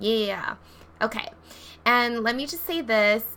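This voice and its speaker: A woman talks in an animated tone at a fairly high pitch and a fairly slow pace. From Hawaii. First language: not English. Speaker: tarot deck creator and coach. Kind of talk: casual vlog tutorial.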